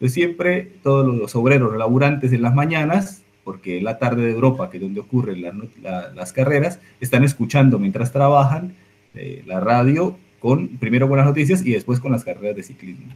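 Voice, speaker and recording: Speaking at a fairly quick pace in a Colombian accent, a man with a medium pitch sounds somewhat breathy, with lively intonation and big swings in loudness. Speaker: astrophysics researcher. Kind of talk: public science talk. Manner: hesitant, repeats words.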